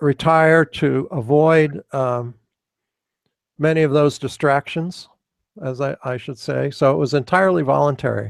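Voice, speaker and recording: A man with an American accent talks at a moderate pace, his pitch fairly high with ordinary variation. The sound is dry and close with no echo, on a very clean recording with a silent background. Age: 60s. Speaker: retired professor, AI researcher. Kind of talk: Q&A after a lecture. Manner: halting, many fillers.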